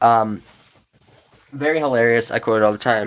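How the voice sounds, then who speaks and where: The pace is fairly quick. The recording is very clean, with a silent background. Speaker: video creator showing DVD collection. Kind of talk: casual show-and-tell. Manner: fast.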